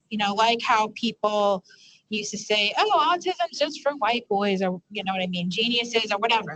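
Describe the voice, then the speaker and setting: This woman has a New York accent, a medium pitch and a moderate pace. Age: 20s. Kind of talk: panel discussion. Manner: halting.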